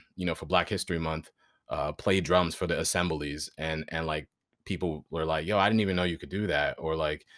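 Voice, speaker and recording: The speech moves at a very fast pace with fairly even intonation. The recording is very clean, with a silent background. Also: man. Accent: New York. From Westchester County, New York (Greenburgh). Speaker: actor and voiceover artist. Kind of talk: casual interview chat.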